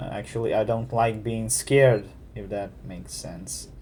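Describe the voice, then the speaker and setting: A man with a Ukrainian accent at a fairly slow pace. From Ukraine. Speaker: gamer. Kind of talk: let's play commentary. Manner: halting.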